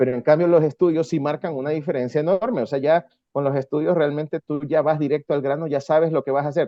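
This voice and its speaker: A man talks with a coastal Ecuadorian accent. His pitch is fairly high. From Ecuador, coast (Guayaquil). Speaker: rock musician. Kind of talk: interview.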